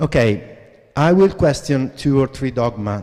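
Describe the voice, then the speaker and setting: A man talks at a very slow pace against noticeable background noise. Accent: Italian. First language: Italian. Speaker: graphic designer, creative director. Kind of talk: lecture. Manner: halting.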